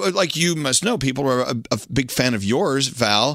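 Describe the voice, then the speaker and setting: With lively intonation and a bright, sharp tone, a man of medium pitch speaks at a moderate pace in an American accent. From Texas. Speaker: radio host. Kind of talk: casual chat.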